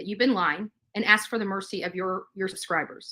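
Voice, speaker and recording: Her tone bright and sharp, a woman talks at a medium pitch. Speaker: YouTuber. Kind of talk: livestream rant. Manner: animated.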